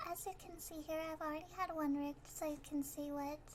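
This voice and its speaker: Her intonation is fairly even. The woman's voice sits high in pitch. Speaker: vtuber. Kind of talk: software tutorial narration. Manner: hesitant, stammering.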